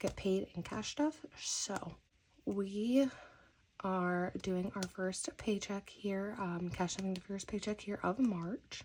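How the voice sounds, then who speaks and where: Somewhat breathy, a woman's medium-pitched voice moves at a fairly slow pace with ordinary pitch variation. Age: 30s. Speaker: budgeting YouTuber. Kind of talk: casual vlog tutorial. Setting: at home at night.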